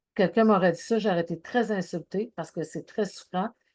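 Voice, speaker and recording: A woman's medium-pitched voice with a dark, mellow tone, ordinary pitch variation and a moderate pace, over a quiet background. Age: 60s. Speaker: anxiety and wellness speaker. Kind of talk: talk.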